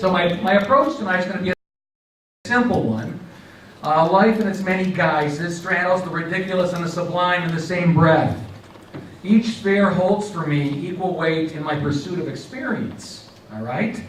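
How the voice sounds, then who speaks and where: With an American accent and a high pitch, a man speaks at a moderate pace with ordinary pitch variation, and audible room echo surrounds his voice. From Pittsburgh, Pennsylvania. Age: 60s. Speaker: comedic speaker. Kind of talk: comedic lecture. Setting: stage with live audience at a college.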